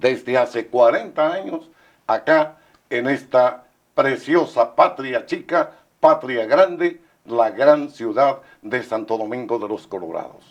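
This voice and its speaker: The speech is very slow, with lively intonation and big swings in loudness. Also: man, fairly high pitch for a man. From northern Ecuador highlands, Imbabura. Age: 70s. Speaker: veteran radio announcer. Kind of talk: TV interview. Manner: formal, announcer-like.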